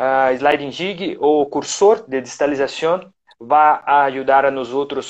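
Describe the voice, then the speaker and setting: The speaker talks with a Portuguese accent and ordinary pitch variation. The background is quiet. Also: man. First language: Portuguese (speaking Spanish). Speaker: orthodontics professor. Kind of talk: lecture. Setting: live stream. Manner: halting.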